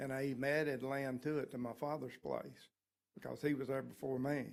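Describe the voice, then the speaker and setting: A man talks with a Southern US accent at a moderate pace. His pitch is fairly high. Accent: US South. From Walton County, Florida. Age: 70s. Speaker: resident speaking at public hearing. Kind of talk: public comment. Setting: public meeting.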